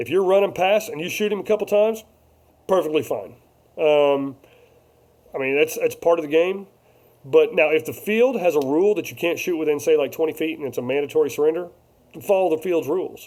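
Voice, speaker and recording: A man speaks loudly in a high pitch. Long, frequent pauses break up his ordinary pitch variation. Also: fairly quick pace. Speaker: paintball vlogger. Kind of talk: casual live-stream chat.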